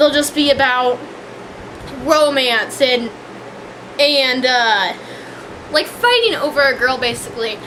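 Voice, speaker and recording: A woman's high-pitched voice is raised and projected, with very even loudness and fairly even intonation, at a fairly slow pace with long, frequent pauses. Audible room echo and noticeable background noise are present. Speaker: vlogger reviewing a TV show. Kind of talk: casual rant. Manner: hesitant, many fillers and restarts.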